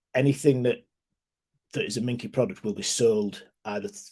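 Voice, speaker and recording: In a British accent, the voice sounds somewhat breathy with a dark, mellow tone and ordinary pitch variation. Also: man. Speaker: ecommerce consultant. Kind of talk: webinar presentation. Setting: online webinar. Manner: fast.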